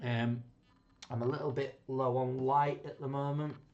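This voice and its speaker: A man with a Yorkshire accent talks at a moderate pace in a monotone, flat intonation. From Yorkshire, England. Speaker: rum reviewer, channel host. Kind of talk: casual tasting review. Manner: rambling, hesitant with fillers.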